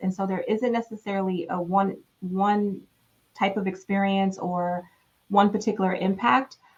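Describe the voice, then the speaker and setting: Her voice is somewhat breathy, set at a medium pitch for a woman. She keeps a moderate pace and fairly even intonation. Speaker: panel moderator. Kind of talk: panel discussion. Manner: casual.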